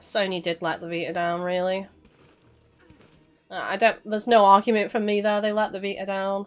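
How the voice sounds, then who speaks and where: A woman at a medium pitch over music in the background, fairly quick in pace, monotone and flat in intonation, with big swings in loudness and long, frequent pauses. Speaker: gaming streamer. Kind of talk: live stream chat while gaming. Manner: casual, swears.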